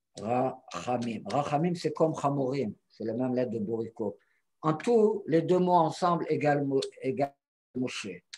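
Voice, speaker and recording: The man speaks with a non-native accent at a fairly slow pace. His pitch is fairly high and his intonation lively. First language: not French (speaking French). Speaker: Torah teacher. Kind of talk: teaching conversation. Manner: halting.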